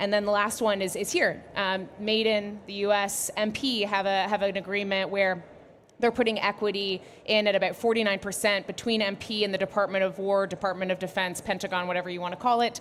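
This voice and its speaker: Talking at a fairly quick pace, a woman has a Canadian accent and a medium pitch. Her intonation stays monotone and flat. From Canada. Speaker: critical minerals policy expert, panelist. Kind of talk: panel discussion.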